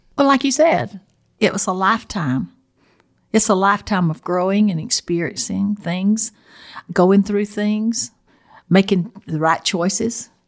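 Speaking in a Southern US accent at a fairly slow pace with long, frequent pauses, the voice comes through on a very clean recording with a silent background. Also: woman, medium pitch for a woman. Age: 70s. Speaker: host's mother. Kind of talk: casual chat. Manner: calm.

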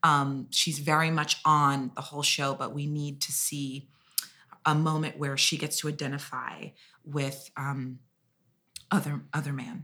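A woman with an American accent speaks at a fairly slow pace in a very deep, low pitch, her intonation monotone and flat, on a very clean recording with a silent background. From US Midwest, Kansas City. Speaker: musical theatre actress. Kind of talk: casual chat.

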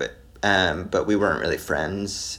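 Noticeable noise fills the background. Over it, a man speaks at a moderate pace. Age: 20s. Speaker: musician. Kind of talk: casual chat.

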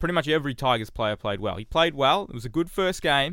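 With an Australian accent and lively intonation, a man speaks at a fairly quick pace on a very clean recording with a silent background. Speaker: sports journalist. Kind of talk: casual chat.

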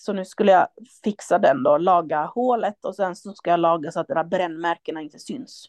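A plain, everyday voice talks at a moderate pace with ordinary pitch variation. The sound is dry and close with no echo. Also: woman, fairly low pitch for a woman. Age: 30s. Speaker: artist and gallery owner. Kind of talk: casual chat.

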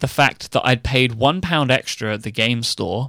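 A man speaks at a fairly slow pace with an English accent, his tone bright and sharp, the sound dry and close with no echo. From England. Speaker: podcast co-host. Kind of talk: casual chat. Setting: remote recording.

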